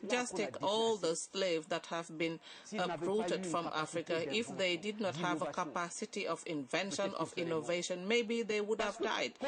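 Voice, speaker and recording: Moderate pace with noticeable background noise. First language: not English. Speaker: summit panelist. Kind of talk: panel discussion. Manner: halting.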